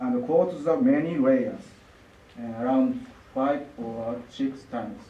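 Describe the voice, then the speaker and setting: A man's very slow speech in a Japanese accent, with very wide pitch swings and audible room echo. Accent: Japanese, non-native English. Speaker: lacquer artist. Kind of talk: artist presentation. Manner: halting.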